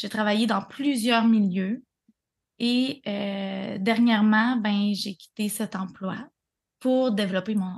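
At a very slow pace, a somewhat breathy voice speaks in a Quebec accent. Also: woman, fairly high pitch for a woman. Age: 30s. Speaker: breathwork facilitator. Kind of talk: casual interview chat.

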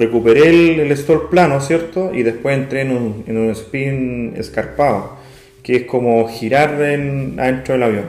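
A man talks at a fairly slow pace with a medium pitch and ordinary pitch variation. Audible room echo and noticeable background noise surround his voice. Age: 30s. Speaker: amateur pilot. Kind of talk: interview.

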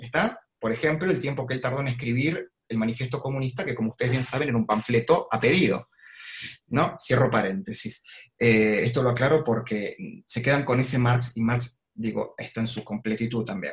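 Somewhat breathy, a man's medium-pitched voice moves at a moderate pace with ordinary pitch variation. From Argentina, Avellaneda (Buenos Aires province). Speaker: political analyst and columnist. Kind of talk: online talk / interview.

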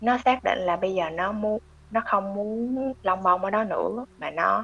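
The background is quiet as a woman speaks. Her pitch is medium, with ordinary variation. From Vietnam. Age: 20s. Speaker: consumer analyst. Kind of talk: interview.

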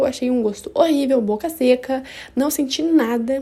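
Ordinary pitch variation at a fairly slow pace. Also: woman. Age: 20s. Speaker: podcaster. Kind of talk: casual personal monologue. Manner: animated.

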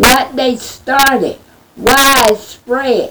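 A woman speaks at a high pitch and a very slow pace. Noticeable background noise runs behind her. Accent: American. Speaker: prayer leader. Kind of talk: fervent prayer. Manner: pleading, fervent; repetitive, call-and-response.

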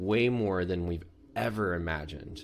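A man with an American accent, a very deep, low pitch and a moderate pace. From US Deep South. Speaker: podcast co-host, actor and coach. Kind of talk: casual chat. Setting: video call.

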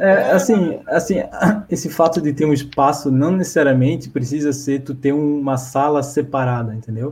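With an ordinary speaking voice, a man keeps a moderate speed and a fairly high register, his pitch moving in an ordinary way. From Blumenau, southern Brazil. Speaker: software engineer. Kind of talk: casual chat. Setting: live video stream.

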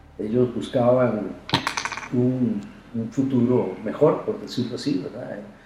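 A man speaks at a very slow pace and medium pitch with ordinary pitch variation, taking long, frequent pauses, with audible room echo and noticeable background noise. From Costa Rica, San José. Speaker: architect and university professor. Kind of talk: interview.

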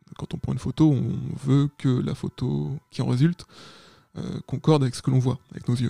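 Somewhat breathy male voice with a dark, mellow tone, at a moderate pace, in a dry, close sound with no echo. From Paris region, France. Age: 30s. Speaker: photographer. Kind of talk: interview.

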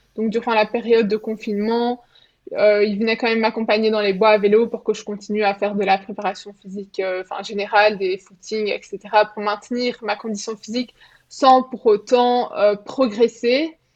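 The woman's intonation is monotone and flat. She speaks at a moderate pace. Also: fairly high pitch for a woman. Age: 20s. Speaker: middle-distance runner. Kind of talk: interview.

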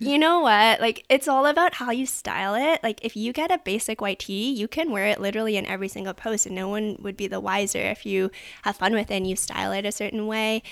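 A woman talks at a very fast pace with hardly any pauses and lively intonation. She has a Canadian accent, on a very clean recording with a silent background. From Canada. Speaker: sustainable fashion consultant. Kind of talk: casual interview.

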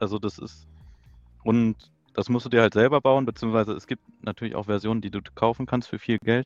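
Dry and close with no echo, a man's voice moves at a fairly quick pace in a monotone, flat intonation. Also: medium pitch for a man. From near Braunschweig, Lower Saxony, Germany. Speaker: FPV drone racing pilot. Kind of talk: casual chat.

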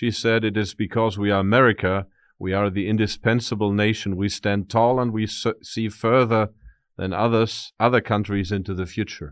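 In a German accent, a man speaks at a moderate pace and a fairly low pitch, with fairly even intonation against a quiet background. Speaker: interviewer, professor. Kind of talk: interview. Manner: halting, many fillers.

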